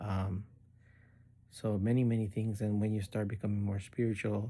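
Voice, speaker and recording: Monotone, flat intonation marks a man's dark, mellow, somewhat breathy voice. The recording is very clean, with a silent background. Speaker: spiritual course student. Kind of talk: recorded course assignment monologue. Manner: halting, many fillers.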